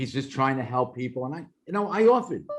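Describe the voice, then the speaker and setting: Someone speaks with lively intonation in a Brooklyn accent. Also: man. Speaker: former FBI operations manager. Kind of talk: interview testimony. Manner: conversational, animated.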